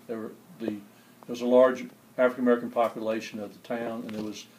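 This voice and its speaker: Here a man of medium pitch talks with a Southern US accent. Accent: Southern US (Georgia). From US South, Albany, Georgia. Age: 60s. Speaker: public librarian, church choir member. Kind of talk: interview, personal recollection.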